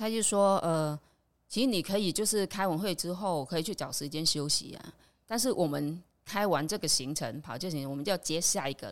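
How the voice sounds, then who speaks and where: Lively in intonation, a woman speaks at a fairly quick pace and a fairly low pitch. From Vietnam. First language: Vietnamese (speaking Chinese). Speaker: immigrant worker. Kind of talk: casual chat.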